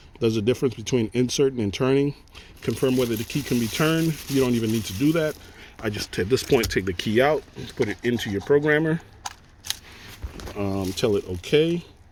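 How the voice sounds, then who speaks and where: Over noticeable background noise, a man at medium pitch talks at a fairly quick pace with ordinary pitch variation and long, frequent pauses. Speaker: auto mechanic / locksmith. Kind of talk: tutorial. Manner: casual, conversational.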